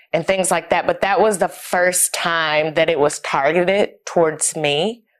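In an American accent, a woman with an unremarkable speaking voice talks at a fairly slow pace, her fairly low pitch showing ordinary variation. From US South, East Tennessee (Knoxville). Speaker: wellness company co-founder. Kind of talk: interview testimony.

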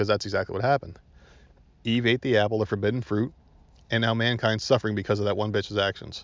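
A man speaks in an animated tone at a very fast pace. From New Jersey. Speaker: podcast host. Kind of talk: casual solo podcast monologue.

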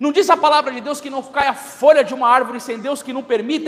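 Against noticeable background noise, a man with an extremely high pitch talks in an animated tone. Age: 30s. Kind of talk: sermon.

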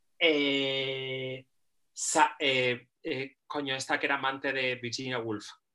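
Very slowly and in a monotone, flat delivery, a woman speaks with a bright, sharp tone at a very deep, low pitch. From Spain. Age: 40s. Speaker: artist and poet. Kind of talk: interview.

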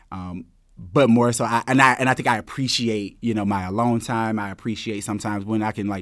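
A plain, everyday voice speaks at a moderate pace with fairly even intonation on a very clean recording with a silent background. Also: man. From US South, small-town Georgia. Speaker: business school student. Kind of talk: casual interview.

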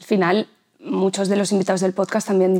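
A woman's dark, mellow voice at medium pitch, in a very clean recording with a silent background. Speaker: podcast host. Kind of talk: interview.

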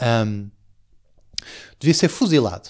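A man speaks at a fairly slow pace with lively intonation, on a very clean recording with a silent background. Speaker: comedy podcast host. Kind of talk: comedic monologue. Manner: halting with many fillers.

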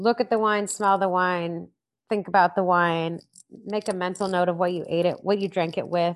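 Against a quiet background, a woman with an American accent speaks at medium pitch and a moderate pace in an ordinary speaking voice. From Missouri. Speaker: sommelier and wine educator. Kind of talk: interview.

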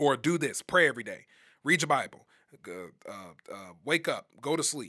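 In a very clean recording with a silent background, a man with an American accent talks at a moderate pace, his fairly high voice bright and sharp in tone. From US Midwest, Wisconsin. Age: 20s. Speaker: preacher and podcast host. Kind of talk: solo religious talk.

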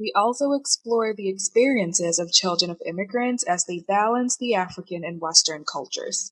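A woman speaks at a moderate pace with hardly any pauses, lively intonation, big swings in loudness and a somewhat breathy voice, in a dry, close sound with no echo. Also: medium pitch for a woman. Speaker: podcast intro/outro voice. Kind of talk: scripted intro.

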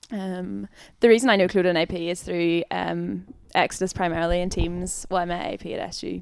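With a Northern Irish accent, a woman talks at a fairly quick pace in a very clean recording with a silent background. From Northern Ireland. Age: 20s. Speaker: youth and schools worker. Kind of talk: casual interview.

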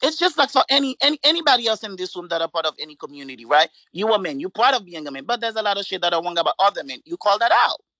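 A man talks in a raised, projected voice at a very fast pace, with hardly any pauses and very wide pitch swings. His high, bright, sharp voice sounds dry and close, with no echo. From Haiti. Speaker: participant in online discussion. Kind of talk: heated debate. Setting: online audio chat room.

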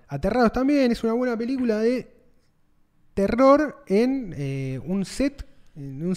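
The voice moves through very wide pitch swings in a Rioplatense accent. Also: man. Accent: Argentine Rioplatense Spanish. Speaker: podcast co-host. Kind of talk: casual chat.

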